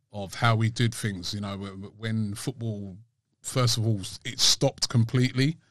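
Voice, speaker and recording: A man with a London accent, fairly even intonation, big swings in loudness, and a quiet background. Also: medium pitch for a man, moderate pace. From London, England. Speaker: football fan channel host. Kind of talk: casual chat.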